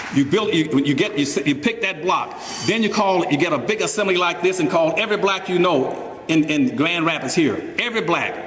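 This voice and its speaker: A man with a high pitch and lively intonation speaks with hardly any pauses and very even loudness, amid noticeable background noise and audible room echo. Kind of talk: speech to a live audience. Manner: fast; animated.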